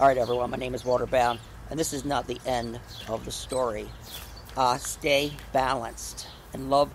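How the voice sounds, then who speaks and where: Long, frequent pauses break up a man's moderate-paced speech, recorded dry with no echo over light background noise. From New Jersey. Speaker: gardening video creator. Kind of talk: casual garden tutorial. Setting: outdoors in a garden. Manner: animated. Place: garden. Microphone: phone near.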